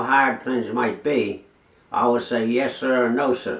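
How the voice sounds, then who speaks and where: A man with a medium-pitched voice talks at a fairly slow pace with ordinary pitch variation, and background noise is noticeable. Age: 80s+. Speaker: war veteran. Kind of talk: interview answer.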